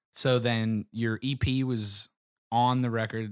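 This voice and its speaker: On a very clean recording with a silent background and a dry, close sound with no echo, a man with a medium pitch speaks in an American accent. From Pittsburgh, Pennsylvania. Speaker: podcast host. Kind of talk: casual chat.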